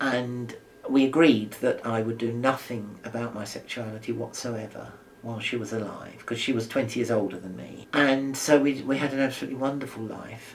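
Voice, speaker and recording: A man at a medium pitch talks at a fairly quick pace with fairly even intonation and big swings in loudness. Background noise is noticeable. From London. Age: 70s. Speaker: retired primary school teacher. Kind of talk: oral history interview answer.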